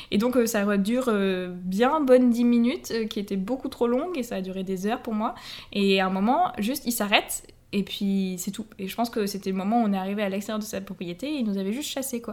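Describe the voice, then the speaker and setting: A woman talks at a fairly quick pace in a plain, everyday voice, pitched fairly high with ordinary pitch variation. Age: 20s. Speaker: English and French teacher. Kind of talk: travel storytelling.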